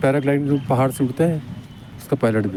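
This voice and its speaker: A man's fairly high voice with a dark, mellow tone. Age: 70s. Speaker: car mechanic and athlete. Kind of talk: interview answer.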